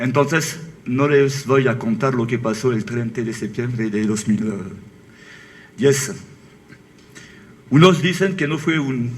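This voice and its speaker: A man with a French accent at a medium pitch, a fairly slow pace with long, frequent pauses, ordinary pitch variation and audible room echo. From France. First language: French (speaking Spanish). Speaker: author. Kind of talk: book presentation talk.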